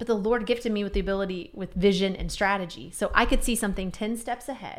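At a fairly quick pace, a woman talks at medium pitch with ordinary pitch variation. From Missouri, Kansas City area. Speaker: entrepreneur and consultant. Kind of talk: casual interview. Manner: loud.

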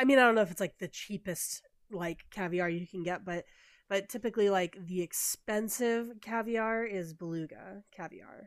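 A woman with a normal speaking voice talks at medium pitch and a moderate pace, with ordinary pitch variation. The recording is very clean, the background silent. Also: big swings in loudness. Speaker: podcast host. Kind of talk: casual chat.

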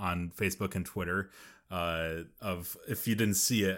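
On a very clean recording with a silent background, a man speaks at a very deep, low pitch with fairly even intonation. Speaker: podcast co-host and writer. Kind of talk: casual chat.

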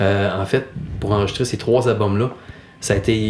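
A man speaks in a Quebec accent with ordinary pitch variation. Noticeable background noise sits behind him. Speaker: podcast host. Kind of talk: casual interview.

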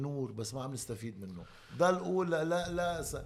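A man with a Lebanese accent, fairly high in pitch, lively in intonation, at a fairly slow pace, with audible room echo. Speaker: former basketball player. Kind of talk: interview conversation.

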